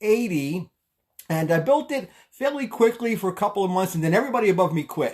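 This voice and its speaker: Talking very fast in a high voice, a man with a Brooklyn accent sounds animated, his intonation lively. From Brooklyn, New York. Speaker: tax advisor and network marketer. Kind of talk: live stream talk. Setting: live video stream.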